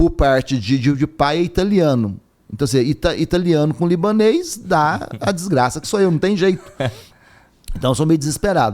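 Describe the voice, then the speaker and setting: The man's fairly high voice moves through very wide pitch swings. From southern Minas Gerais, Brazil. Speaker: university rector and philosophy professor. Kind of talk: podcast interview.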